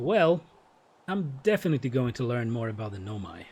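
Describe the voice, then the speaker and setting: A man with a non-native accent speaks at a moderate pace, somewhat breathy, with very wide pitch swings. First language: not English. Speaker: game streamer. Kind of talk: live gameplay stream, reading game dialogue aloud.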